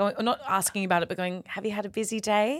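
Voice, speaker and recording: Mid-range female pitch with an Australian accent. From Perth, Western Australia. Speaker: comedian. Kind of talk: casual chat. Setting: studio. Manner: animated.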